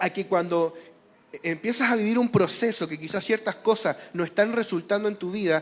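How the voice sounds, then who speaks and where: Delivered with a Chilean accent, the speech moves at a fairly quick pace. Pitch varies in an ordinary way. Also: man. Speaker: preacher. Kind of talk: sermon.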